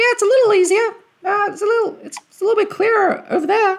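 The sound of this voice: An extremely high-pitched put-on character voice at a very fast pace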